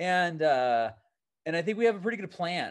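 In a General American accent, a man speaks at a moderate pace with very wide pitch swings. The background is quiet. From Seattle, US Pacific Northwest. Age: 30s. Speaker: mountaineer. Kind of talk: casual interview.

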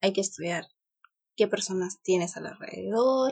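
A woman's dark, mellow, somewhat breathy voice with lively intonation and a fairly slow pace. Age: 30s. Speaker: lawyer and blogger mother. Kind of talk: casual interview.

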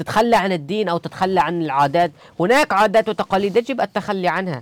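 A man with a high pitch speaks at a fairly quick pace with lively intonation, his voice dry and close with no echo in a very clean recording over a silent background. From Syria, Idlib. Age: 20s. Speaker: bookshop founder. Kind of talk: interview storytelling.

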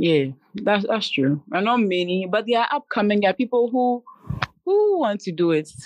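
With a Ghanaian accent, a woman speaks at a moderate pace and medium pitch, her lively intonation held at very even loudness in a dry, close sound with no echo. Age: 20s. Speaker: YouTuber and entrepreneur. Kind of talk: casual chat. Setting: at home, house being painted.

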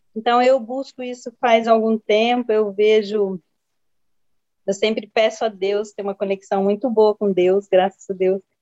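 A woman with a fairly high pitch has a dark, mellow tone and a monotone, flat intonation. She speaks fairly slowly in a dry, close sound with no echo. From Jales, São Paulo state. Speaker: osteopath and physiotherapist. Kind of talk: personal introduction. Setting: video call.

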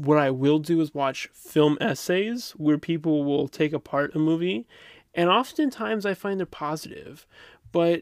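Recorded very cleanly with a silent background and a dry, close sound with no echo, a man with a fairly high pitch uses an unremarkable speaking voice, ordinary pitch variation and a moderate pace. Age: 20s. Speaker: podcast co-host. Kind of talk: casual chat.

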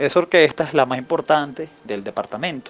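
Talking at a very fast pace, a man speaks in a fairly high voice. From Venezuela, Falcón state. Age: 20s. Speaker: musician. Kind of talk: interview. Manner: halting, repeats words.

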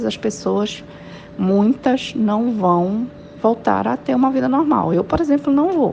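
A fairly high-pitched woman at a very slow pace, her pitch swinging very widely at very even loudness, over noticeable background noise. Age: 40s. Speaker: civil engineer. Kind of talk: interview.

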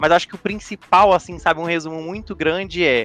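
A man's high-pitched voice. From Brazil, Espírito Santo (Vitória). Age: 20s. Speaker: data governance professional. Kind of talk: casual chat.

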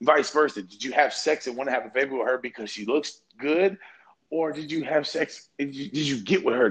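Talking at a fairly quick pace, a man with an American accent and a fairly high voice has an ordinary speaking voice. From Kentucky, US. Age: 20s. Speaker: football coach and podcaster. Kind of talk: casual banter, podcast chat. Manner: loose, boastful, joking.

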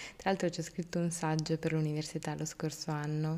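A woman speaks at a moderate pace in a very deep, low pitch, her tone dark and mellow and her intonation monotone and flat. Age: 20s. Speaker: podcast host. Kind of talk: personal monologue. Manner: halting.

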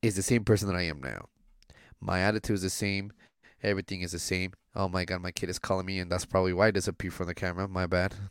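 Against a silent background on a very clean recording, a man speaks very fast in a monotone with flat intonation. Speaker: podcast co-host. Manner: laid back, joking.

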